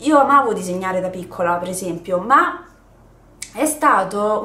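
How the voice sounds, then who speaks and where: Audible room echo surrounds a woman's voice. She speaks at a moderate pace with very wide pitch swings. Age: 20s. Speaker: YouTuber. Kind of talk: casual chat. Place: home room.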